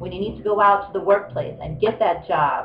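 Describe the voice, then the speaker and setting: With noticeable background noise, a woman talks at a fairly quick pace. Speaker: spiritual coach and massage therapist. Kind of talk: casual vlog monologue.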